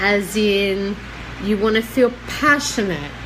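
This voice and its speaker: At a very slow pace, a woman with a medium pitch talks amid noticeable background noise and audible room echo. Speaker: psychic medium. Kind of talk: live stream guidance talk. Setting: live online video stream.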